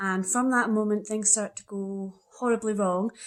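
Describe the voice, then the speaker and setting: In a Scottish accent, the voice keeps a moderate pace and fairly even intonation. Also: woman. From Scotland. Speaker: young adult author. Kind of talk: book trivia presentation.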